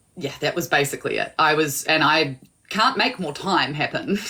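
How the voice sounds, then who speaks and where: A woman talks in a strong New Zealand accent with a bright, sharp tone. Her very deep, low pitch shows ordinary variation. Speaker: small business owner, guest. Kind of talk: casual chat.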